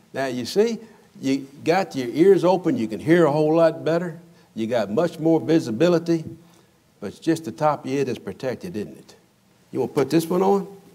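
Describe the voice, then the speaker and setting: A man speaks at a fairly quick pace with a dark, mellow tone. His loudness swings widely. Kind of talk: children's sermon demonstration. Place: church.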